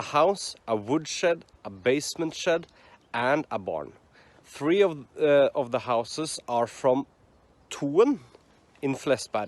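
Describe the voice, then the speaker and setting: A man with a Norwegian accent speaks in a fairly high pitch. His pace is very slow, with long, frequent pauses. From Norway. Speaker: hiking vlogger. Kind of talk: reading aloud. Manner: halting.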